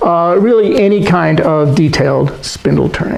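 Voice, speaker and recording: A man at a high pitch and fairly slow pace, with ordinary pitch variation, noticeable background noise and audible room echo. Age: 70s. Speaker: woodturning teacher. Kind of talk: tutorial.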